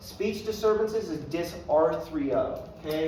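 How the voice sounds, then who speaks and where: Noticeable background noise and audible room echo fill the recording. The speaking pace is fairly slow. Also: man. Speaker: paramedic instructor. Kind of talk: lecture. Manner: casual, conversational.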